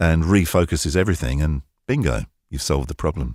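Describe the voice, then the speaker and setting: Dry and close with no echo, a man's very deep, low voice shows vocal fry, ordinary pitch variation and a fairly quick pace. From North London. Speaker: voice-over artist. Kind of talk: interview answer. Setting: remote connection from home studio.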